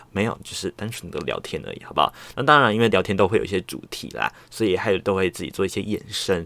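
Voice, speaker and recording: A man talks at a very fast pace, with hardly any pauses and big swings in loudness. His pitch is fairly low, with ordinary variation. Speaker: solo podcast host. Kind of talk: casual chat. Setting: home recording. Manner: relaxed, chatty with many fillers.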